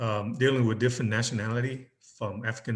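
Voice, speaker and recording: Somewhat breathy, a man talks at a fairly quick pace with a medium pitch and fairly even intonation. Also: quiet background. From Vietnam. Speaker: business relations specialist and photographer. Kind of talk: interview answer.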